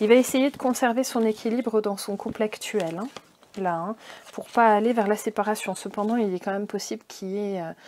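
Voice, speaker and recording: Speaking at a fairly quick pace, a woman has a fairly high pitch and fairly even intonation. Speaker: tarot card reader. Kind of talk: card reading guidance. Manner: casual, hesitant with fillers.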